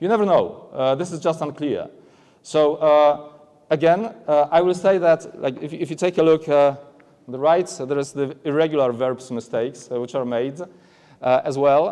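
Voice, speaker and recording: Speaking at a moderate pace with a Polish accent, a man has a fairly high pitch, ordinary pitch variation and a dark, mellow tone. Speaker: aviation English examiner. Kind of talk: conference presentation. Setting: stage at trade expo. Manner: halting, many fillers.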